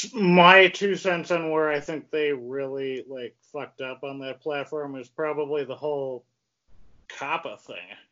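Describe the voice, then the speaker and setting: An unremarkable speaking voice from a man, fairly high in pitch, with fairly even intonation and big swings in loudness. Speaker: podcast host. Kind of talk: casual interview. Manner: casual, many fillers. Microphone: too close to the mic, choppy at start.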